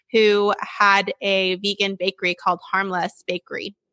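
A woman speaks with an American accent at a medium pitch, her tone bright and sharp. The sound is dry and close, with no echo. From Sacramento, California. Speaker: cookbook author. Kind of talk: casual interview.

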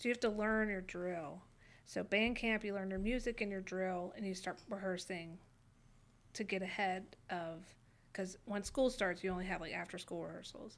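A woman with an American accent has a plain, everyday voice at a medium pitch. She speaks at a moderate pace with fairly even intonation. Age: 30s. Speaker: hospice nurse. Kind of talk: casual chat.

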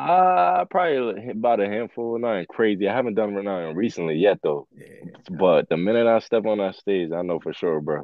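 With an ordinary speaking voice and ordinary pitch variation, a man talks at a moderate pace. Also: fairly low pitch for a man. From Jamaica, moved to US at six. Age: 20s. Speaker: rapper. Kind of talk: casual interview.

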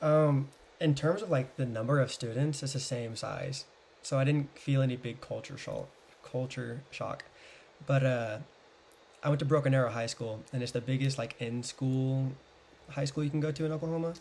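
A man with an American accent, somewhat breathy, at a moderate pace with long, frequent pauses and fairly even intonation. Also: medium pitch for a man. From US South. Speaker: podcast guest. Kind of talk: casual chat.

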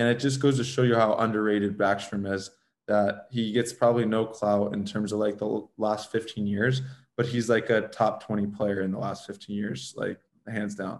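Here a man with an unremarkable speaking voice talks at a moderate pace, fairly low in pitch, with fairly even intonation. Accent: American. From Southern California, Los Angeles. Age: 30s. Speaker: former pro hockey player. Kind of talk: interview.

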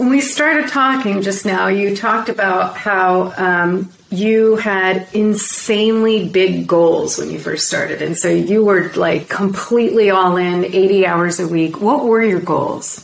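A medium-pitched woman at a fairly slow pace, hardly any pauses, ordinary pitch variation, and noticeable background noise. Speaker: podcast host. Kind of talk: interview.

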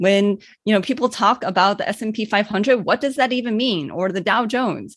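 With an American accent, a woman speaks at a moderate pace and a fairly high pitch. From US Midwest, Cleveland, Ohio. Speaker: doctor and life coach. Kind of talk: interview.

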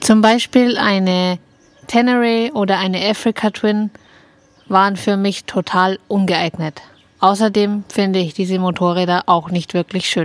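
A woman's medium-pitched voice with ordinary pitch variation, at a fairly slow pace with long, frequent pauses, in a dry, close sound with no echo. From Upper Bavaria, Germany. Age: 30s. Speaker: podcast co-host, motorcyclist. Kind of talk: scripted self-introduction.

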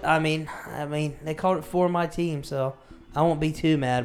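With an ordinary speaking voice, a man talks at a fairly high pitch. His pace is moderate and his pitch variation ordinary. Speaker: podcast co-host. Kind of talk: casual chat.

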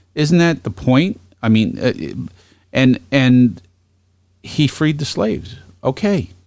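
A man's medium-pitched voice with a New York accent, very slow and broken by long, frequent pauses, with very wide pitch swings and very even loudness. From Brooklyn, New York. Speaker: podcast host. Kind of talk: casual political chat.

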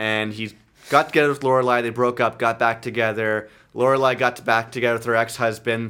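On a very clean recording with a silent background, a man with a Canadian accent speaks at a fairly quick pace in a bright, sharp tone and monotone, flat intonation. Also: medium pitch for a man. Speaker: podcast host. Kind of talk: casual chat. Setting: home studio with friends. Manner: loud.

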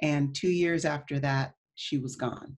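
A woman's very deep, low voice, somewhat breathy, at a very slow pace. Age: 40s. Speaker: wellness entrepreneur. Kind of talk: interview.

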